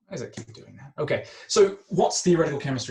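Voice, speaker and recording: A somewhat breathy man with an Australian accent, very fast pace, ordinary pitch variation and audible room echo. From Australia, Melbourne. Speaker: chemistry academic. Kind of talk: lecture. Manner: hesitant, many fillers.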